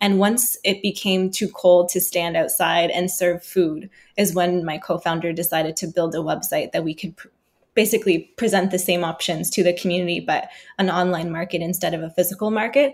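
A woman talks at a fairly quick pace in a fairly low pitch, with a Nova Scotian accent and fairly even intonation. The recording is very clean, with a silent background. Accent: Canadian (Nova Scotia). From Halifax, Nova Scotia. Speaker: social entrepreneur. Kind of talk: podcast interview.

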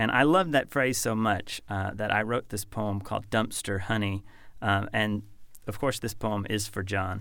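The recording is very clean with a silent background. A man with an American accent has a plain, everyday voice, fairly low in pitch, with fairly even intonation. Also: moderate pace. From Kentucky, US. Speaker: poet and professor. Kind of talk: poetry reading, performed aloud with measured, literary delivery. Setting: studio. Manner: measured, contemplative, lyrical.

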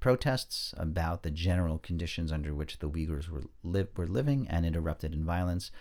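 Against a silent background on a very clean recording, a man with an American accent speaks in a very deep, low pitch with ordinary pitch variation. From New York suburbs, US. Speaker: documentary filmmaker. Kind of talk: interview. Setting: podcast studio.

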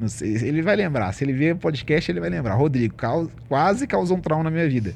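A man's fairly high-pitched voice. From Ribeirão das Neves, Minas Gerais, Brazil. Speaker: financial coach and entrepreneur. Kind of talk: casual interview chat.

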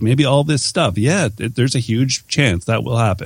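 The speaker talks at a fairly quick pace with a Canadian accent and a somewhat breathy sound. The recording is very clean, with a silent background. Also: man. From Canada. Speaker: entrepreneur and podcaster. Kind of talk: interview conversation.

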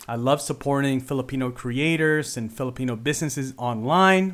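Here is a man with an unremarkable speaking voice. His pitch sits in the medium range and varies in an ordinary way. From Philippines until age ten, then Canada. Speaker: podcast host. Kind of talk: solo podcast monologue. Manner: casual with frequent fillers.

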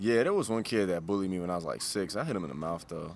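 A man speaks with an American accent and a fairly low pitch. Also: very clean recording, silent background. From Chicago South Side, US. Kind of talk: casual interview conversation.

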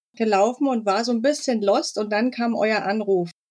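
An unremarkable speaking voice from a woman, moderate in pace, with fairly even intonation. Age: 40s. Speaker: online shop owner. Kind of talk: interview.

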